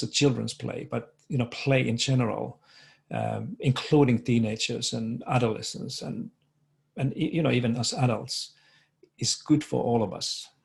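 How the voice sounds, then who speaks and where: At a moderate pace, a man speaks with a Finnish accent. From Finland. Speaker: education researcher. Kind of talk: conference presentation. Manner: halting, many fillers and repetitions.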